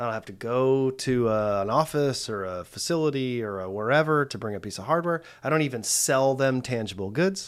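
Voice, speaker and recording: Talking fairly quickly with hardly any pauses, a man uses an unremarkable speaking voice at a medium pitch with lively intonation, on a very clean recording with a silent background. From United States. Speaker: podcast host. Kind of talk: interview conversation. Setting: in person in an office.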